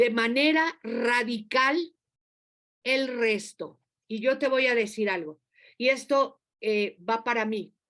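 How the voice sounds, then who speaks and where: Very slow pace with ordinary pitch variation. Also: woman, high pitch for a woman. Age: 60s. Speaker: preacher. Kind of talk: sermon.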